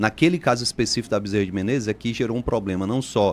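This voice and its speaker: His voice sits fairly low and shows ordinary pitch variation. He rattles through the words at a very fast pace. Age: 40s. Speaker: politician, mayoral candidate. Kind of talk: radio interview.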